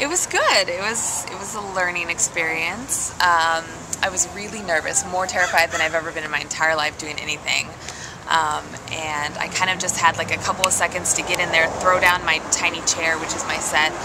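A woman's fairly low voice at a moderate pace, with fairly even intonation and noticeable background noise. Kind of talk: interview answer. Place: tent. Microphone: phone near.

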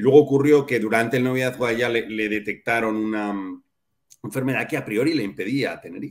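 A man at a fairly quick pace, fairly even intonation, and a quiet background. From Spain. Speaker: father of adoptive family; interview guest. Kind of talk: interview. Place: home room.

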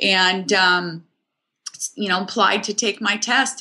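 An American-accented woman with a bright, sharp tone at medium pitch, fairly slow and fairly even in intonation. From US Pacific Northwest, Seattle. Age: 40s. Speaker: real estate agent. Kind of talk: interview.

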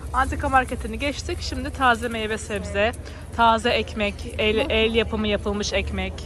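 A woman speaks in a dry sound with no echo. Faint music plays behind her. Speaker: vlogger giving market tour. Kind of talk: casual vlog chat. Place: market. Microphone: phone near.

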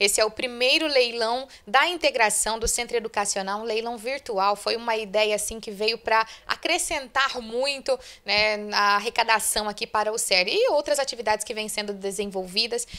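Speaking at a moderate pace, a woman has a bright, sharp tone and ordinary pitch variation. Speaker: local news reporter. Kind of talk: news report interview. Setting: on location at school. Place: home room. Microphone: handheld.

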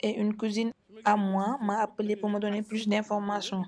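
Over light background noise, a woman talks fairly slowly at a medium pitch with a monotone, flat intonation. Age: 60s. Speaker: screening attendee. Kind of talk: interview. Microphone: handheld.

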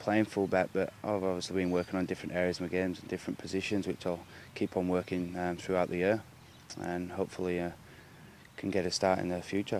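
A man speaks at a very fast pace with a very deep, low pitch and monotone, flat intonation, his loudness swinging widely. The sound is dry with no echo, with light background noise. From Halifax, England. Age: 20s. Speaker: rugby league player. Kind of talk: interview answer. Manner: casual, hesitant. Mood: pleased, modest. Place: open country. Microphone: handheld.

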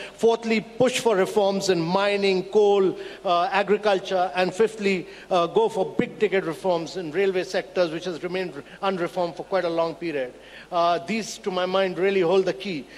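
A man with a high pitch talks at a moderate pace, keeping his intonation fairly even. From India. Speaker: government policy official; panelist. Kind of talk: panel discussion. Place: hall. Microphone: handheld.

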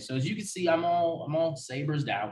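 Room echo is audible as a man talks at a moderate pace in a somewhat breathy voice. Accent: American. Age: 20s. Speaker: sports podcast host. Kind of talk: solo sports talk podcast. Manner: casual, many filler words (um, uh).

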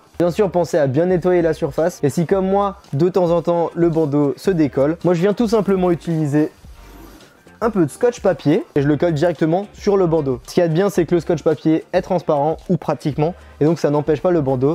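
A man's high voice at a moderate pace, with ordinary pitch variation and very even loudness, music in the background. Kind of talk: tutorial. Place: workshop.

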